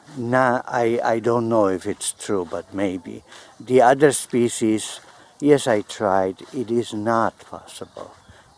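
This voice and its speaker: A man's medium-pitched voice at a very slow pace, with ordinary pitch variation, big swings in loudness and noticeable background noise. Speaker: plant grower. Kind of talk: gardening tutorial.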